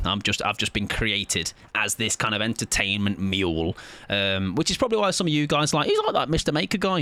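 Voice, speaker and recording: Speaking with an English Midlands accent, a man moves at a fairly quick pace. His tone is animated, with very wide pitch swings. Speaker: video game streamer. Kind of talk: live gaming stream chat.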